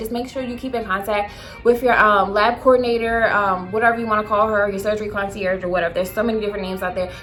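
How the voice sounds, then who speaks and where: Over music in the background, a woman talks at a very fast pace with a fairly high pitch. Her intonation is fairly even, and room echo is audible. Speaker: beauty and lifestyle vlogger. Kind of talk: casual vlog storytime. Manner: halting, stuttering.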